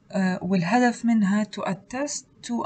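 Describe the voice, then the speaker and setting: The speaker talks at a fairly slow pace with ordinary pitch variation, against noticeable background noise. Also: woman. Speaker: student tutor. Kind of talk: lecture.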